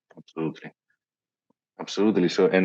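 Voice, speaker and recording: A man is speaking. He has a non-native accent. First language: not English. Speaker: podcast host. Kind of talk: interview. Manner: halting.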